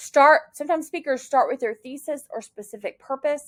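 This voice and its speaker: A woman's voice in a very clean recording with a silent background. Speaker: college public speaking instructor. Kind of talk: recorded lecture. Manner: fast.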